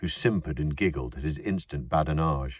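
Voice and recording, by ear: The speech moves at a moderate pace on a very clean recording with a silent background. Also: man.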